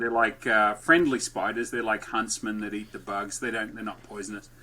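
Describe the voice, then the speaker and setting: Speaking at a moderate pace, a man with an Australian accent has a bright, sharp tone. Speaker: entrepreneur and podcast host. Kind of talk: podcast interview. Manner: lively.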